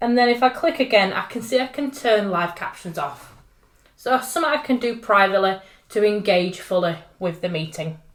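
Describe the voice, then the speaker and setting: Delivered at a fairly quick pace with a northern English accent, the speech has an upbeat tone and lively intonation. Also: woman. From northern England. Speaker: tech trainer. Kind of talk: tutorial. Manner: casual and upbeat.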